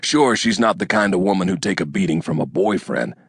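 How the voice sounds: Reading in a natural voice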